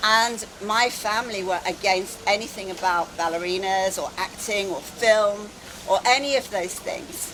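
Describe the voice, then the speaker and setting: A woman with an English accent, medium in pitch with ordinary pitch variation, at a fairly slow pace, with audible room echo and noticeable background noise. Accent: very English. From England, London. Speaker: wellness speaker. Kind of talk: conference talk. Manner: animated.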